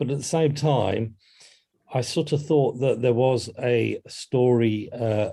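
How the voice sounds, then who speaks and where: A man's medium-pitched, somewhat breathy voice with a dark, mellow tone, fairly even intonation and a fairly slow pace. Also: quiet background. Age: 50s. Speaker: music journalist and author. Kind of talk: podcast interview. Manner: hesitant, with many fillers and restarts.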